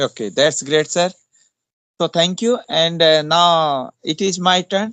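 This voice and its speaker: At a very slow pace and with very even loudness, a man speaks in a high pitch with ordinary pitch variation and an Indian accent. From India, Uttarakhand (Pauri Garhwal). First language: Hindi. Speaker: English teacher. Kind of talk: casual chat. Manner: halting.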